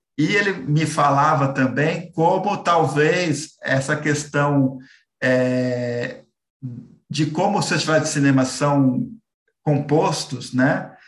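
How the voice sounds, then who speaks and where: At a very slow pace, the somewhat breathy voice keeps very even loudness and ordinary pitch variation, with audible room echo. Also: man, fairly high pitch for a man. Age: 30s. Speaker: film critic. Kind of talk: interview.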